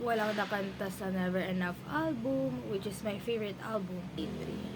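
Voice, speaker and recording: A woman speaks at a moderate pace and medium pitch, with audible room echo and noticeable background noise. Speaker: vlogger. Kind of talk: casual vlog talk.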